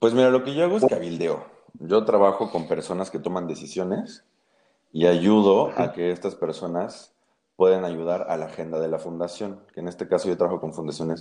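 Speaking at a moderate pace, a man uses a very deep, low pitch with ordinary variation in it. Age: 20s. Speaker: lobbyist and tarot reader. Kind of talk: tarot reading; casual interview chat.

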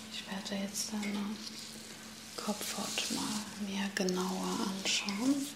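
A woman's gentle, calm voice at a medium pitch, very slow, with long, frequent pauses, fairly even intonation and noticeable background noise. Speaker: ASMR creator playing a hairdresser. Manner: slow, soft-spoken, gentle and reassuring, with calm pauses; caring, attentive salon-style patter with repeated 'ja?' and 'okay?' check-ins.

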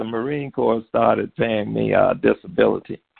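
Here a man speaks with a Southern US accent. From Alabama, US South. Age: 70s. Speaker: author and taekwondo instructor. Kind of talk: radio interview.

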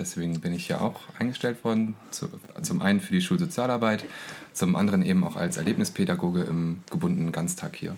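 A man at a medium pitch with very wide pitch swings and a fairly quick pace. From East Frisia, northern Germany. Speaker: school social worker. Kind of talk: interview.

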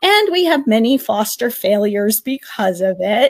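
A woman with an American accent has an unremarkable speaking voice, fairly high in pitch, at a fairly slow pace. The sound is dry and close with no echo. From Connecticut, US. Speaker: former middle school teacher, educational consultant. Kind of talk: casual interview about personal health journey. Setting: studio, live stream.

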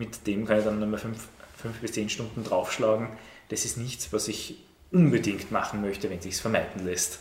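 The speaker sounds somewhat breathy and moves at a moderate pace with ordinary pitch variation, with audible room echo around the voice. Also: man, fairly low pitch for a man. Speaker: teacher. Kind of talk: casual chat.

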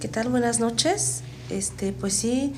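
Audible room echo surrounds a woman's speech. She talks at a fairly slow pace. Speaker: guest recounting paranormal experience. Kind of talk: testimony. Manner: halting, repeats words.

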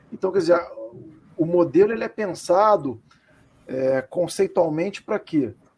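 At a moderate pace, a man with a high pitch uses lively intonation, broken by long, frequent pauses. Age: 40s. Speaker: football club commentator. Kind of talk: casual chat.

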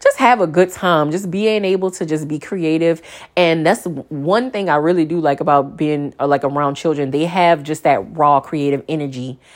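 This woman's pitch is very deep and low, yet her tone is animated. She keeps a moderate pace with ordinary pitch variation. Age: 30s. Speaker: podcast host. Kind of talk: casual chat; guided relaxation.

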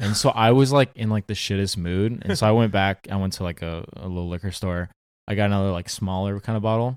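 Fairly even in intonation, the very fast speech carries an American accent on a very clean recording with a silent background. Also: man, fairly low pitch for a man. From Southern California, Orange County. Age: 20s. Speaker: actor. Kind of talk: casual chat.

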